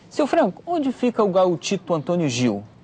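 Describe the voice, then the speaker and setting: A man's pitch swings very widely as he keeps a moderate pace. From Brazil. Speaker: travel show presenter. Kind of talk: travel documentary narration.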